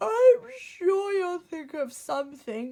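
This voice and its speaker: A woman does a put-on character voice at an extremely high pitch, with very wide pitch swings and a very slow pace. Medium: read story. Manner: mild, easygoing.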